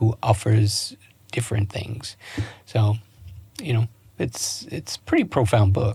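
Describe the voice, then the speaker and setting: Somewhat breathy, a man with an American accent speaks at a fairly slow pace and medium pitch, with fairly even intonation and long, frequent pauses. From US East Coast, Baltimore, Maryland. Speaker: relationship coach. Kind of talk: podcast interview. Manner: halting, many self-corrections.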